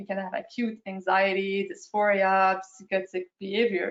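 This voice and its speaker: A woman with a strong French accent, at a fairly slow pace. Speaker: periodontist. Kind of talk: lecture. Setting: video call.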